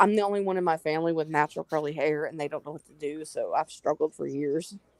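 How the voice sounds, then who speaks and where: Talking very fast with a strong Southern US accent, a woman keeps her very deep, low voice fairly even in intonation, and the sound is dry and close with no echo. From US South, North Carolina. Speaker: live stream panelist. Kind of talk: casual chat.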